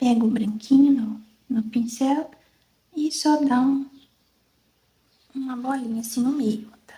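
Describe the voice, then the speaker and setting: A soft-spoken woman talks in a high voice with ordinary pitch variation. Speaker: fabric painting teacher. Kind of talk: tutorial.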